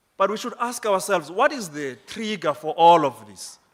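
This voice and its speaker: The pace is fairly slow, with lively intonation. The recording is very clean, with a silent background. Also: man. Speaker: parole board member presenting at a summit. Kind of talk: conference presentation. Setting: conference hall with audience. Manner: formal.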